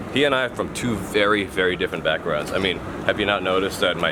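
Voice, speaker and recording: A man with an American accent, fairly low in pitch, talking at a very fast pace over noticeable background noise. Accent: sounds like an American kid. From Thailand, Bangkok. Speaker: fishing vlogger. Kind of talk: casual vlog storytelling. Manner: animated.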